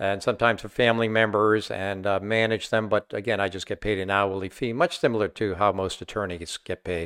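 In a very clean, dry and close recording with a silent background and no echo, a man with a normal speaking voice talks at a fairly quick pace and fairly low pitch, with fairly even intonation and hardly any pauses. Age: 60s. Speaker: investment advisor and author. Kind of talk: interview.

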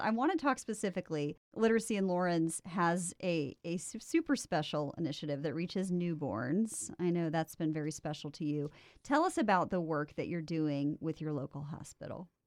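Against a quiet background, a woman with a fairly low pitch talks at a fairly quick pace with hardly any pauses, her tone animated and playful and her intonation lively. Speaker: podcast host. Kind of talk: scripted intro then casual interview. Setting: remote recording at a university radio station. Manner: animated, playful.

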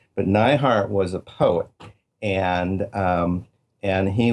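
Against a quiet background, a man with a fairly low voice speaks at a very slow pace with fairly even intonation. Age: 60s. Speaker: author. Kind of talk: interview. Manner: halting, many fillers.

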